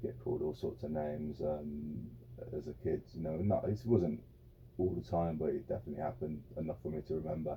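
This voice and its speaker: Against background music, a man with a West Midlands accent talks fairly quickly in a very deep, low voice with lively intonation. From English Midlands (Birmingham / Wolverhampton area). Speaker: former football goalkeeper. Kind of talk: interview. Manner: halting, many repeated words and fillers.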